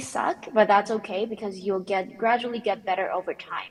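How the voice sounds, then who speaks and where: Over noticeable background noise, a woman with a non-native accent talks at a medium pitch with fairly even intonation. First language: not English. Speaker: conference speaker, technical author. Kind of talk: panel Q&A answer. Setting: conference panel.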